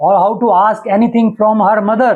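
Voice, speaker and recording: A man's high-pitched voice in a Punjabi accent, with fairly even intonation. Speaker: astrology teacher. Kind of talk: lecture. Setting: live stream.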